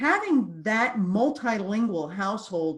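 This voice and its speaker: A woman with a fairly high, somewhat breathy voice speaks with lively intonation. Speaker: course designer and trainer. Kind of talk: interview.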